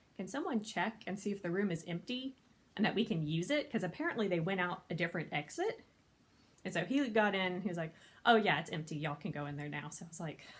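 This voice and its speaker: Her somewhat breathy, medium-pitched voice moves fairly quickly with very wide pitch swings as this woman speaks. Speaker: convention panel host. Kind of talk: casual talk to camera. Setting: home, no microphone, quiet recording. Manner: fast.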